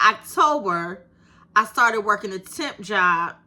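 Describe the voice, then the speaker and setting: With an animated tone, a woman speaks in a bright, sharp voice at a fairly high pitch. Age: 50s. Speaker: YouTube creator. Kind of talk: casual vlog monologue.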